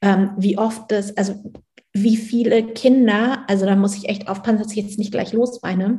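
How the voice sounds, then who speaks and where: Somewhat breathy and fairly high-pitched, this woman speaks at a moderate pace in a dark, mellow tone with monotone, flat intonation. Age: 40s. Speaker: human design coach for parents. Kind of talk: interview.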